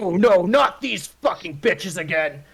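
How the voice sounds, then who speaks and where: A man's put-on character voice, high in pitch. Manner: exasperated, annoyed.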